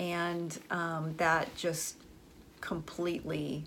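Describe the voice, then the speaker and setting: There is audible room echo as a woman speaks in a fairly low pitch with monotone, flat intonation. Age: 40s. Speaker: podcast host and business professor. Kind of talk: personal monologue.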